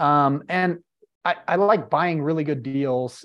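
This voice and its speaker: An unremarkable speaking voice moves at a fairly slow pace with ordinary pitch variation against a quiet background. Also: man. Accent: American. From Utah, Salt Lake City. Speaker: real estate investor. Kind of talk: casual interview.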